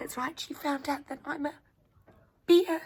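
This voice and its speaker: Spoken at a moderate pace, this put-on character voice sits at a high pitch. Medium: read story. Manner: friendly, playful.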